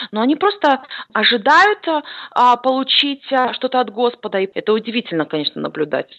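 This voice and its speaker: A woman talks fairly briskly, her high voice leaping across a very wide pitch range. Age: 20s. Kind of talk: interview. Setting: Skype call.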